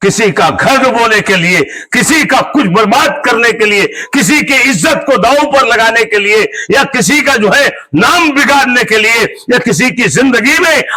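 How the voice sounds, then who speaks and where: A man uses a raised, projected voice. His pitch is extremely high. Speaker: imam giving Friday sermon. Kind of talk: sermon. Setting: mosque. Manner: loud.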